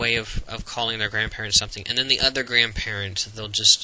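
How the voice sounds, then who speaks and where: Over noticeable background noise, a man with an American accent talks with ordinary pitch variation. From Florida, USA. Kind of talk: casual talk to camera.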